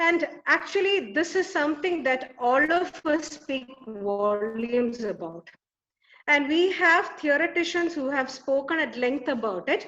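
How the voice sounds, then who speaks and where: A woman's high, bright, sharp voice with a Keralan accent, lively intonation and a fairly slow pace. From Kerala, India. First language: Malayalam. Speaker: academic conference presenter. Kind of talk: conference presentation. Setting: webinar.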